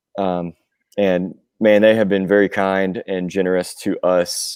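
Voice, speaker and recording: In a very clean recording with a silent background and a dry, close sound with no echo, a man with a Southern US accent speaks fairly low, with a dark, mellow tone and fairly even intonation. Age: 40s. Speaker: rock musician, singer and drummer. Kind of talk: podcast interview. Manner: casual, with frequent fillers.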